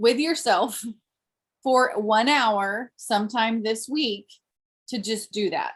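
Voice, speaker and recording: A woman talks at a fairly high pitch in a somewhat breathy voice. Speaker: direct sales team leader. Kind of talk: team meeting announcements. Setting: video call.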